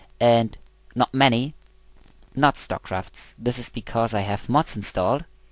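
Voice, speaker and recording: A man with a German accent speaks at a fairly slow pace and medium pitch with ordinary variation. The recording is very clean, the background silent. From Germany. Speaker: video game let's player. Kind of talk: gameplay commentary. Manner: halting.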